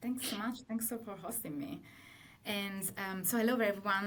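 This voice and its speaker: With an Italian accent, a woman speaks at a moderate pace with fairly even intonation, amid audible room echo and noticeable background noise. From Italy. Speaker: partner manager at tech company. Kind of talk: webinar presentation.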